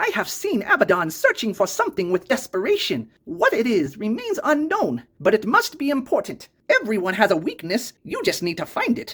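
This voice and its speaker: The put-on character voice is nasal and fairly high in pitch, moving at a moderate pace with hardly any pauses. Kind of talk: old grandmother voice. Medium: actual play. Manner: refers to herself in third person.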